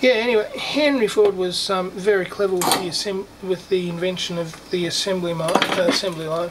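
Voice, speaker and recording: A man's high-pitched voice at a fairly quick pace, with ordinary pitch variation and noticeable background noise. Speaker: electronics hobbyist clock maker. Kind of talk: tutorial. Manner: animated.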